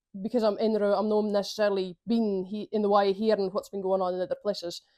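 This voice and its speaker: The voice has a Shetland accent and a dark, mellow tone with fairly even intonation. The sound is dry and close with no echo, over a quiet background. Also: woman. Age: young. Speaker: community councillor. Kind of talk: interview answer.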